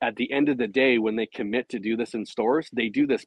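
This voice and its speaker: Over a quiet background, a man speaks at a fairly quick pace with ordinary pitch variation, the sound dry with no echo. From Canada. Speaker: tech company founder. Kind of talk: interview with in-store walkthrough demo. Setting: inside a retail store. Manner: halting, repeats words. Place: shop. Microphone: phone near.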